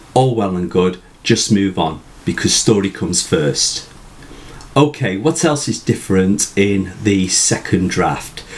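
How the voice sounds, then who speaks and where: Speaking at a fairly slow pace with a British accent, a man uses a fairly low pitch and lively intonation. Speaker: writing tutor. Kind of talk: tutorial talk to camera. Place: home room.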